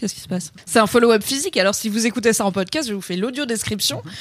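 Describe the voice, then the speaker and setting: In a dry, close recording with no echo, a woman speaks animatedly in a fairly high voice with very wide pitch swings. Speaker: podcast co-host. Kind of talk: casual chat.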